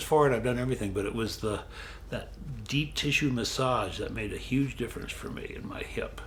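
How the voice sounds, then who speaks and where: A man talks at a moderate speed, and room echo can be heard. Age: 70s. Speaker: model and massage client. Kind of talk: casual interview.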